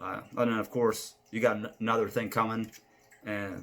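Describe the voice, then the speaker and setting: The speech is mumbled. Its intonation stays monotone and flat. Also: man. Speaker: amateur video reviewer. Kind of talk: casual monologue album ranking. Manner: mumbling; halting, many fillers.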